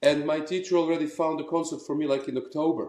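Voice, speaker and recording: Here a man has a fairly high pitch. His tone is dark and mellow. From Croatia. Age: 40s. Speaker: opera singer. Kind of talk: interview.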